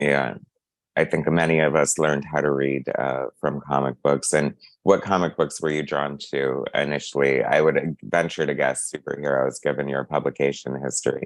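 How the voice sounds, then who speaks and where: A man talks at a moderate pace in a very deep, low voice with vocal fry and a flat, monotone intonation. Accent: Midwestern US. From Ohio, US Midwest. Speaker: interviewer, channel host. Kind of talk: interview.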